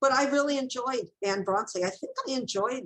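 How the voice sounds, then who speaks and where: A woman talks at a moderate pace with a high pitch. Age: 70s. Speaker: author and booktuber. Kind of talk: casual chat.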